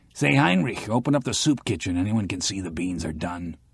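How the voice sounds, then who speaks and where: The speaker uses a raspy, put-on character voice. The pace is fairly quick. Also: man, very deep, low pitch for a man. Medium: read story.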